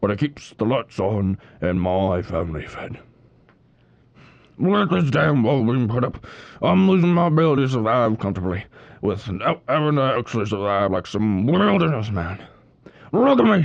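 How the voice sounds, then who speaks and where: A man puts on a character voice at a medium pitch and a moderate pace. He leaves long, frequent pauses. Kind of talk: interview answer. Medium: audio drama. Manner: frustrated, complaining.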